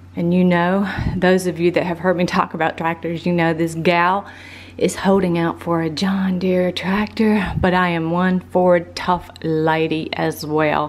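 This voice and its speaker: Over noticeable background noise, a woman with a Southern US accent talks at a fairly slow pace in monotone, flat intonation. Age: 50s. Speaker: lifestyle vlogger. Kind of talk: casual vlog monologue. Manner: halting.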